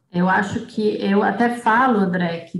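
A woman at a medium pitch and fairly slow pace, with fairly even intonation. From Brazil, Piracicaba (São Paulo interior). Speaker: journalist and communication professor. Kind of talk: podcast interview.

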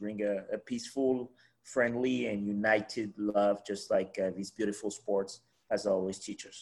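Fairly even in intonation, a man talks in a normal speaking voice with a fairly low pitch. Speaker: podcast co-host. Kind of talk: casual interview chat.

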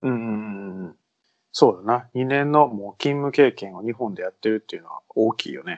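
An ordinary speaking voice at a moderate pace, with ordinary pitch variation and big swings in loudness. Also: man, medium pitch for a man. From Kansai, Japan. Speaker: radio host. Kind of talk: casual chat. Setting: studio.

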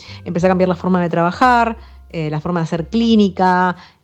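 Her pitch sits fairly low and varies in an ordinary way. The woman has a normal speaking voice. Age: 30s. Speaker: veterinarian. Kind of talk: interview.

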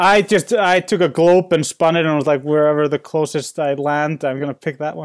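Speaking with an Icelandic accent, a man uses a fairly high pitch and fairly even intonation. He moves at a fairly quick pace with hardly any pauses, and the sound is dry and close with no echo. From Iceland, Reykjavik. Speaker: painter. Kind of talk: interview. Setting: home studio in basement, remote call. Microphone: soundproofed studio, clear reception.

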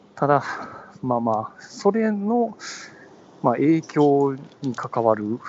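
Against noticeable background noise, a man with a Kansai accent talks at a very slow pace with long, frequent pauses. His pitch is fairly high and swings very widely. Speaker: podcast co-host. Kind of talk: casual chat. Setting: phone call from a train station platform.

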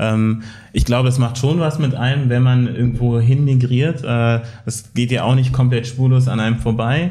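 Somewhat breathy and dark, mellow in tone, the voice moves at a moderate pace with fairly even intonation in a room with audible echo. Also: man, medium pitch for a man. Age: 20s. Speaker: anti-racism activist. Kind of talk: casual chat. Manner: hesitant with many fillers.

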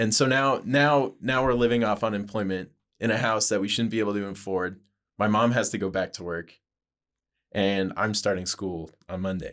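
The voice belongs to a man with an unremarkable speaking voice and a fairly low pitch. He keeps a moderate pace with ordinary pitch variation. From New Mexico, then Idaho. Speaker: podcast guest. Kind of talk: casual chat.

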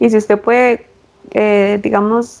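A woman with a fairly high pitch, against noticeable background noise. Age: 20s. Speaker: pregnant forestry engineer. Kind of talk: casual interview.

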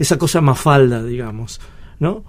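A man talks in a plain, everyday voice. His pitch is fairly high with ordinary variation, and his pace is moderate. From Argentina, Río Negro. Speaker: radio host and cartoonist. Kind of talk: radio interview.

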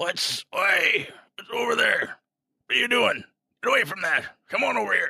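A man's raspy, put-on character voice at a moderate pace, broken by long, frequent pauses

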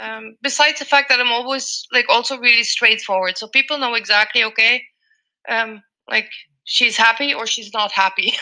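A woman speaks at a moderate pace in a fairly high pitch. Her tone is bright and sharp, with ordinary pitch variation. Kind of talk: casual interview. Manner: informal.

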